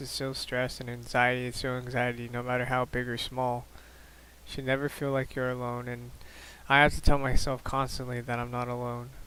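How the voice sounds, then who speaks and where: Soft-spoken yet bright and sharp in tone, a man at medium pitch talks fairly quickly in a flat monotone, his loudness swinging widely. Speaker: vlogger sharing mental health journey. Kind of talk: personal vlog monologue. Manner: halting, many fillers and repeats.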